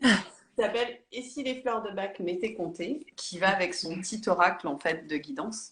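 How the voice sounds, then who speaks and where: A woman's medium-pitched voice at a fairly slow pace, lively in intonation, with hardly any pauses. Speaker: therapist and author. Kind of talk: interview on a live stream. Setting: Instagram live video call. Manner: hesitant, many fillers.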